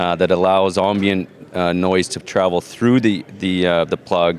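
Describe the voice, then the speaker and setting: Against noticeable background noise, a man with a very deep, low pitch speaks at a fairly slow pace with fairly even intonation. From Canada. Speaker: hearing-technology company representative. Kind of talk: trade show interview.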